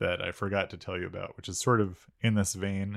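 Fairly quick and fairly low in pitch, a man uses a plain, everyday voice on a very clean recording with a silent background. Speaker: podcast co-host. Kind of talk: casual comedic banter. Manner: joking, playful.

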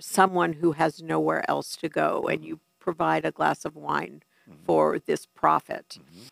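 A woman with a New York accent. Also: dry, close sound with no echo. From New York City. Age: 60s. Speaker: family addiction consultant. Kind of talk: interview. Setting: studio.

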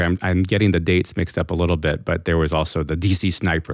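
A man with a very deep, low voice and an American accent. He talks at a very fast pace. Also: very clean recording, silent background. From Massachusetts, New England. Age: 40s. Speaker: podcast co-host. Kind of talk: interview about personal faith story.

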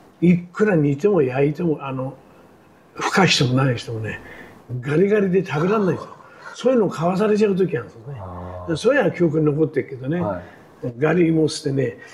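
This man's fairly high voice makes very wide pitch swings against noticeable background noise. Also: fairly quick pace. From Tokyo, Arakawa ward (shitamachi). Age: 80s. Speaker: war survivor and construction scaffolder. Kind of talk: oral history interview. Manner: casual, conversational.

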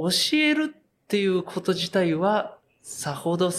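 A man's high-pitched voice with very wide swings in pitch. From Japan, Yokohama. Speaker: craft beer brewer. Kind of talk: interview. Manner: relaxed, with many fillers.

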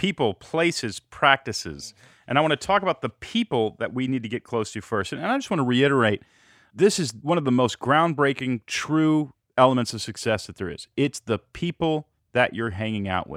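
A man's ordinary speaking voice at medium pitch, lively in intonation and moderate in pace, with a dry, close sound with no echo and a very clean recording, silent background. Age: 40s. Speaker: podcast host. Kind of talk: interview.

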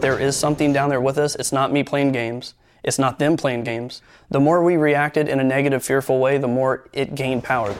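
Music plays behind a man with an American accent who talks at a fairly quick pace, his fairly high pitch set in a monotone, flat intonation. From US Midwest. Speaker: guest recounting a paranormal experience. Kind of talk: personal testimony.

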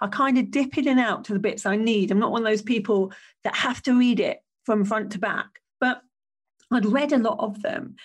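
Against a quiet background, a woman with an English accent speaks at a moderate pace and a fairly high pitch. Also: ordinary pitch variation. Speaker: podcast host and business coach. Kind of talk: solo podcast monologue.

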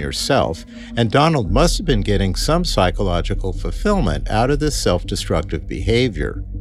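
Music is playing in the background. Over it, a man speaks at a moderate pace. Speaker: doctor giving medical commentary. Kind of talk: explanatory medical commentary.

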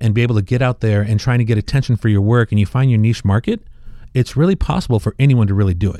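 Very fast and dark, mellow in tone, a man speaks at a medium pitch in a dry, close sound with no echo. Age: 50s. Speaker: artist and product inventor. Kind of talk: interview.

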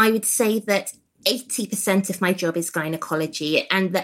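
With an English accent, a woman speaks in a bright, sharp tone at a medium pitch. Her pace is fairly slow, with ordinary pitch variation. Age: 30s. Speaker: gynaecologist. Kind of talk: casual chat.

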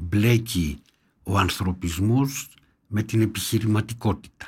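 On a very clean recording with a silent background, a man with a fairly low pitch sounds somewhat breathy and talks at a fairly slow pace. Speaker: former government minister and doctor. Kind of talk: political interview. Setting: studio.

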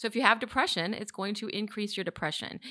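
Talking at a very fast pace, a woman has a bright, sharp tone, a medium pitch and fairly even intonation. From Chicago, Illinois. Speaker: psychiatrist, clinic head. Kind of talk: interview.

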